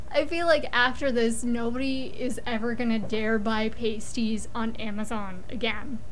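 Over noticeable background noise, a woman with a fairly high voice speaks with fairly even intonation and hardly any pauses. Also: moderate pace. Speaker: podcast co-host. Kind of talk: casual comedic chat, podcast review banter.

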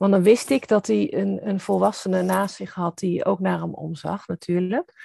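A woman at a fairly slow pace in a dry, close sound with no echo. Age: 50s. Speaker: author and founder of a stepfamily foundation. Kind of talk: interview conversation.

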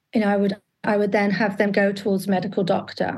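The background is quiet. A woman speaks with a fairly high, somewhat breathy voice. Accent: British. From UK. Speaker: alcohol coach. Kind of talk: interview. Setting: video call.

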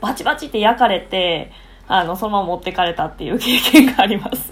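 A woman with a Kansai accent. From Japan, Osaka. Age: 20s. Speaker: English conversation teacher. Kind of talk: casual chat. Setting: video call.

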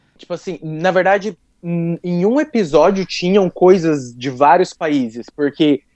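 Speaking in a São Paulo interior accent, a man has a high pitch with ordinary pitch variation at a moderate pace in a dry, close sound with no echo. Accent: caipira (rural São Paulo interior). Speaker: podcast guest. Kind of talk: casual chat.

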